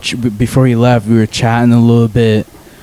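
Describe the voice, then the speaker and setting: A man at medium pitch, with noticeable background noise. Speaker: podcast host. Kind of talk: casual chat. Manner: loud.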